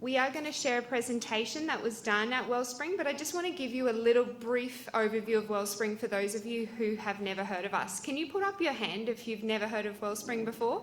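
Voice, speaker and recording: Over noticeable background noise, a woman with an Australian accent speaks at a fairly high pitch, with ordinary pitch variation and hardly any pauses. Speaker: cancer support charity representative. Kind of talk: presentation.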